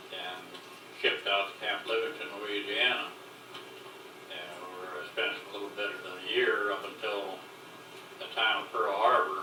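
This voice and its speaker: With music in the background, a man speaks at a moderate pace, with long, frequent pauses and big swings in loudness. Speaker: war veteran. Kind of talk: oral history interview. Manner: casual, reminiscing.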